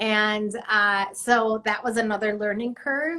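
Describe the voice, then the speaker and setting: A woman speaks very slowly in a fairly high pitch, her tone bright and sharp and her intonation fairly even. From Mexico City. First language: Spanish. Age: 50s. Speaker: artist. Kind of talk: casual chat. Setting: live stream.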